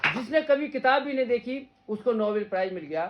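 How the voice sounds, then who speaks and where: The speaker is a man. His voice rises and falls in an ordinary way. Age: 50s. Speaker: veterinary surgeon and teacher. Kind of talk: motivational talk to students. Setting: gathering with students, filmed on mobile. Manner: animated.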